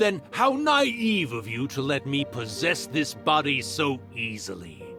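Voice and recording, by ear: Over faint music in the background, a man puts on a character voice with a bright, sharp tone, a medium pitch, big pitch swings and a fairly slow pace.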